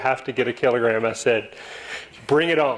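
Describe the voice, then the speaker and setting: A man speaks at medium pitch with fairly even intonation. It is a plain, everyday voice. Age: 60s. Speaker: club speaker, lawyer. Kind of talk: talk to club audience with slides. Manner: casual, with fillers and false starts.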